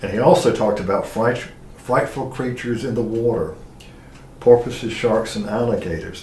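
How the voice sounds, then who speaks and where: A man with an American accent speaks at a moderate pace in a medium pitch. Audible room echo surrounds the recording. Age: 70s. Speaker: historian. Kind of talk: lecture.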